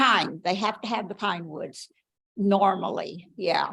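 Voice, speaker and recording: A loud woman's voice, medium in pitch with a bright, sharp tone, at a fairly slow pace on a very clean recording with a silent background. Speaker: volunteer bird monitor. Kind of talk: club presentation.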